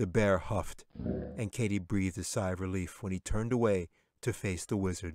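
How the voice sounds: The speaker reads in a natural reading voice.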